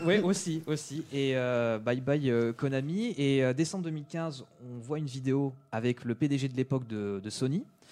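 Slow-paced and dark, mellow in tone, a man speaks fairly slowly at a medium pitch with ordinary pitch variation. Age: 20s. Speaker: video game enthusiast guest. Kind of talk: casual chat.

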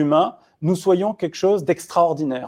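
Here a man talks at a moderate pace against a quiet background. His fairly high pitch carries a dark, mellow tone and ordinary pitch variation. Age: 40s. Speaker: essayist and futurist author. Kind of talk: round-table discussion.

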